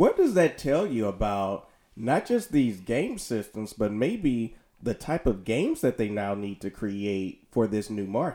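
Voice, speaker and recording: On a very clean recording with a silent background, a man with a dark, mellow tone and medium pitch speaks fairly slowly with lively intonation. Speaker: podcast host. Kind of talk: casual chat.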